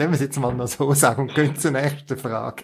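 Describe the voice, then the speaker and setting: Very fast, fairly high-pitched male speech amid noticeable background noise. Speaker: podcast host. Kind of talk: casual interview.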